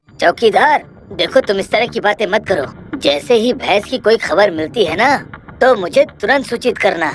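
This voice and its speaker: Here is a cartoonish character voice, female-sounding. Its pitch is fairly high. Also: moderate pace. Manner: authoritative.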